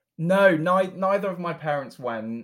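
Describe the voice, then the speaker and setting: A man with a southern English accent speaks with lively intonation. The recording is very clean, with a silent background. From southern England, Berkshire. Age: 20s. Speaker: charity founder. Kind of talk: interview. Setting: call.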